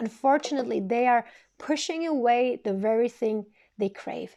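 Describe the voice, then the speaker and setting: With a non-native accent, a woman speaks at a moderate pace, her pitch fairly high and her tone dark and mellow. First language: not English. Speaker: tarot reader. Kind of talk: tarot reading monologue. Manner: occasional stuttering and false starts.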